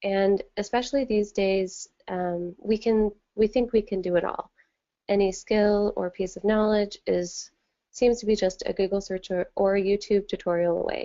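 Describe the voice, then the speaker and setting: A woman talks at a moderate pace and medium pitch. Her intonation is monotone and flat. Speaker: designer. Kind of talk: webinar presentation. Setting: online webinar.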